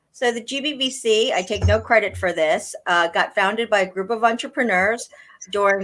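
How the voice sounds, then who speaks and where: An ordinary speaking voice with an American accent and ordinary pitch variation. The pace is moderate. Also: woman. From US East Coast. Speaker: blockchain industry executive. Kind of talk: interview.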